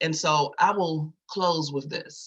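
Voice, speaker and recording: A man with an American accent speaks in a bright, sharp tone at a fairly high pitch, keeping his intonation fairly even. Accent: Virginia accent, noticeable to others. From Virginia. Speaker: community advocate. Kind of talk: testimony.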